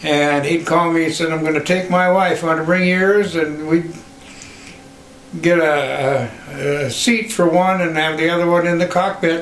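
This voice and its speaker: A man at a moderate pace with fairly even intonation, music in the background. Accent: Western US. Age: 80s+. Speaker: pilot, war veteran. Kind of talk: personal anecdote, oral history. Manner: hesitant, halting.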